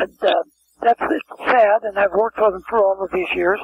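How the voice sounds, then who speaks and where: Speaking with an American accent, a man uses a high pitch and ordinary pitch variation. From US West Coast, San Francisco. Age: 80s+. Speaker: talent agent. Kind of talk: interview. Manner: halting.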